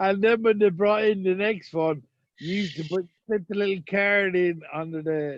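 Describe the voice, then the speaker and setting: A man's high-pitched voice, fairly even in intonation, at a moderate pace. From Ireland. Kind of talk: casual chat.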